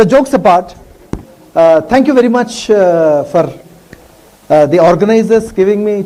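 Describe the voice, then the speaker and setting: A man with a South Indian accent speaks at a moderate pace and a high pitch, with lively intonation. Long, frequent pauses break up his speech over noticeable background noise. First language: Tamil. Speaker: professor. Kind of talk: lecture.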